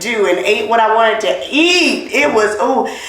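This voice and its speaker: A woman with a fairly high pitch talks fairly slowly in an animated tone. Noticeable background noise and audible room echo fill the recording. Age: middle-aged. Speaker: podcast host. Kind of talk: casual chat.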